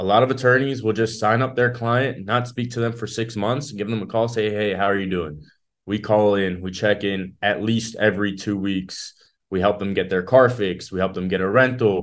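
A man with an ordinary speaking voice, fairly low in pitch, at a moderate pace with fairly even intonation, against a quiet background. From South Florida, born in Israel. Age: young. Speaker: personal injury lawyer. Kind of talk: casual interview.

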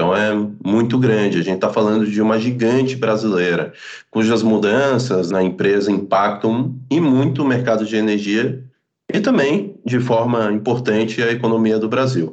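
A man speaks at a moderate pace and a medium pitch. His loudness stays very even, with ordinary pitch variation. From Florianópolis, southern Brazil. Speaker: energy company account executive. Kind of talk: interview explanation.

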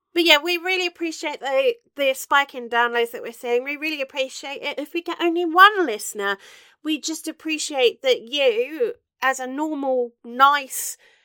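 A woman speaks at a moderate pace in a high pitch with a bright, sharp tone. The sound is dry and close with no echo, and her pitch varies in an ordinary way.

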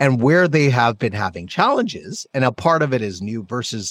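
An unremarkable speaking voice from a man, moderate in pace with lively intonation, in a very clean, dry, close recording with a silent background and no echo. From Canada. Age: 40s. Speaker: podcast host. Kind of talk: casual interview chat.

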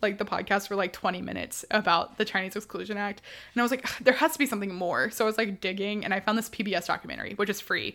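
A woman's medium-pitched voice with an American accent, a bright, sharp tone and vocal fry, ordinary pitch variation, a very fast pace and hardly any pauses. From Houston, Texas. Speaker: podcast co-host, student. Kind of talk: casual chat. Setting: video call.

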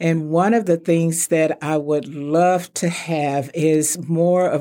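A woman with a Texan accent speaks very slowly in a very deep, low voice with fairly even intonation, on a very clean recording with a silent background. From Texas (Palestine, Wichita Falls). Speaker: retired insurance executive, chamber president. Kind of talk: interview.

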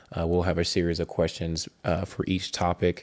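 Recorded very cleanly against a silent background, a man speaks with a very deep, low pitch. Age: 40s. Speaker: podcast co-host. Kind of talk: casual chat. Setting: studio. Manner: hesitant, many fillers.

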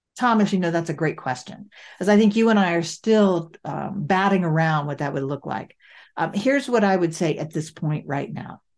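Against a quiet background, a woman with a plain, everyday voice speaks at a moderate pace, fairly low in pitch, with lively intonation. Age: 60s. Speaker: podcast host, affordable housing work. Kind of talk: casual chat.

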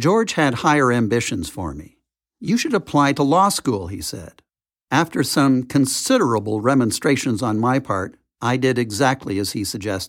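With a Canadian accent, a man speaks in a normal speaking voice at medium pitch with lively intonation, on a very clean recording with a silent background. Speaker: lawyer and TV producer, memoir author. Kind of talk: audiobook reading.

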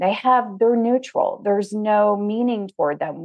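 A woman with a normal speaking voice talks fairly slowly at a fairly high pitch. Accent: American. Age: 50s. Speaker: financial consultant and coach. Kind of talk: casual interview chat.

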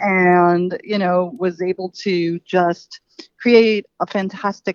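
A woman's medium-pitched voice with an American accent and ordinary pitch variation. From Queens, New York City. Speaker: nonprofit founder. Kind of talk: interview.

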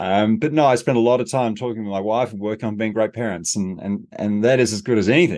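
Very fast, nearly pause-free speech from a man with an Australian accent, medium pitch and ordinary pitch variation, over a quiet background. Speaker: leadership consultant and author. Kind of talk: interview conversation.

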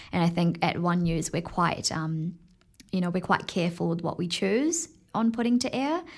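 On a very clean recording with a silent background, a woman with a New Zealand accent speaks at a moderate pace, her pitch fairly low with ordinary variation. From New Zealand (Tauranga), born in Fiji. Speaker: TV field reporter. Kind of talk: interview.

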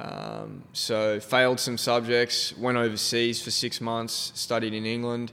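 At a fairly slow pace, a man with an Australian accent speaks in a medium-pitched voice with monotone, flat intonation. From South Australia (Adelaide). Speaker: photographer and podcast host. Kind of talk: casual interview chat.

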